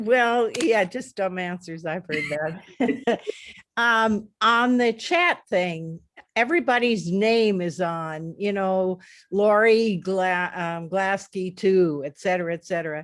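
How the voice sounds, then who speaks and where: A woman at a very slow pace, medium in pitch, with ordinary pitch variation. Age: 80s+. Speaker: workshop participant. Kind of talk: casual chat.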